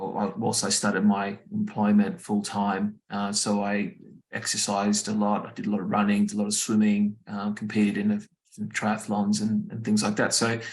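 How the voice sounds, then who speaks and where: A man with an Australian accent speaks at a moderate pace. His fairly low voice stays monotone, with flat intonation. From Australia, Brisbane. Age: 40s. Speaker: cancer survivor sharing his story. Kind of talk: personal testimony talk. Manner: halting, many fillers.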